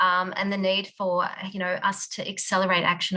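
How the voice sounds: Bright and sharp in tone, a woman's fairly low voice moves at a fairly quick clip with little pitch movement.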